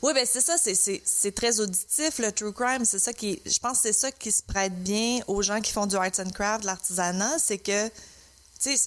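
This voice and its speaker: With a Quebec accent, a woman talks fairly slowly at a fairly high pitch, her pitch varying in an ordinary way over noticeable background noise. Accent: Québécois French. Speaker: podcast co-host. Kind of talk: casual chat. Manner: frequent hesitations and fillers.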